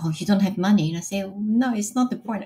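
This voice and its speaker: A woman's medium-pitched, somewhat breathy voice with a dark, mellow tone and lively intonation, in a very clean recording with a silent background. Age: 50s. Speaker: business executive and mother. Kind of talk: podcast interview. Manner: hesitant, many fillers.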